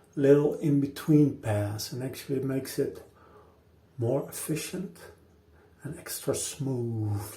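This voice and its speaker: With a non-native accent, a man with a fairly high pitch and a dark, mellow tone speaks at a fairly slow pace, with ordinary pitch variation, long, frequent pauses and audible room echo. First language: not English. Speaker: shaving video host. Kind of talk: casual talk to camera during a shave. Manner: halting, many fillers and repeats.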